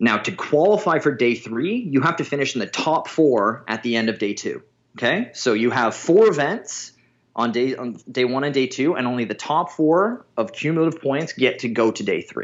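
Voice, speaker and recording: This man has a plain, everyday voice with a fairly high pitch. He talks at a moderate pace with lively intonation. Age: 30s. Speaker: strongman athlete. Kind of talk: interview.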